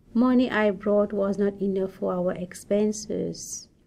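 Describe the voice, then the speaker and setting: A woman in a Mauritian accent, medium in pitch, very slow, with fairly even intonation. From Mauritius. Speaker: newcomer immigrant. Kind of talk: personal story reading.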